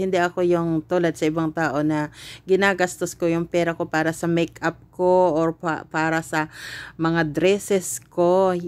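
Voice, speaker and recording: A woman talks at a fairly slow pace with a fairly low pitch. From Philippines. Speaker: cooking vlogger. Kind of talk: casual vlog chat. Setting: shopping trip, on the way home. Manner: hesitant, many fillers. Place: shop. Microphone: phone near.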